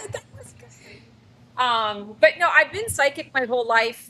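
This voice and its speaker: A woman speaks with a Canadian accent. There is noticeable background noise. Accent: Canadian, heard as Midwest. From Canada. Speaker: psychic. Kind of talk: interview conversation. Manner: talkative, long-winded.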